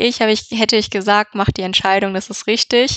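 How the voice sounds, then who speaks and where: Her intonation is monotone and flat. A woman speaks at a medium pitch and a moderate pace. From Germany, Düsseldorf area. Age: 20s. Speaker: business informatics student. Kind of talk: interview. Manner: hesitant with fillers.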